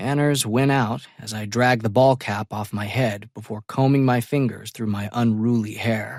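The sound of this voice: Text is delivered in an unforced reading voice.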